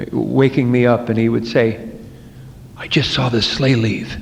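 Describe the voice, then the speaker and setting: A man with an American accent talks at a fairly slow pace, with noticeable background noise and audible room echo around him. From New Jersey, US. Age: 50s. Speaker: recovering alcoholic speaker. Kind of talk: twelve-step speaker talk. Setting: meeting hall with audience. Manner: conversational, with repetitions and false starts.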